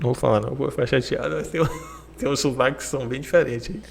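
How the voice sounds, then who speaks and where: Noticeable background noise sits behind a man speaking with a slight Bahian accent. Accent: Salvador (soteropolitano) Bahian accent, mild. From Bahia, Brazil. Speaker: podcast host. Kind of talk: casual chat interview.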